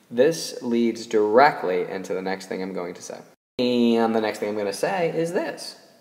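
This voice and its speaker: At a moderate pace, a man with an ordinary speaking voice and medium pitch talks with lively intonation. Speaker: math teacher. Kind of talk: tutorial.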